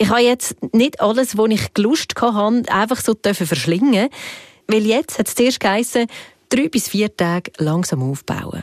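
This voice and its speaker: Lively intonation runs through a woman's fairly high voice at a fairly slow pace, an unremarkable speaking voice. The sound is dry and close with no echo. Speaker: podcast host. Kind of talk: scripted narration.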